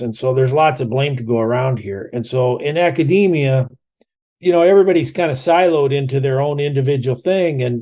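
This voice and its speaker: With an American accent, a man speaks at medium pitch with ordinary pitch variation. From Iowa, US Midwest. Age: 60s. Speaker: environmental scientist and author. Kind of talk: podcast interview.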